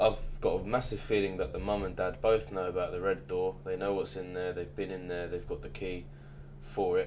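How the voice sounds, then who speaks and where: A man's very deep, low voice in an English accent, fairly even in intonation, at a moderate pace with audible room echo. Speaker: reaction youtuber. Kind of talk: casual recap and predictions. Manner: monotone.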